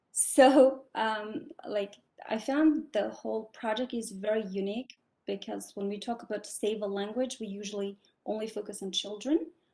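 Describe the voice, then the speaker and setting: A woman's voice has a dark, mellow tone. Her pitch varies in an ordinary way. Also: fairly high pitch for a woman, moderate pace. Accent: non-native. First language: not English. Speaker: graduate student asking a question. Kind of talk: question in online Q&A. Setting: online video call.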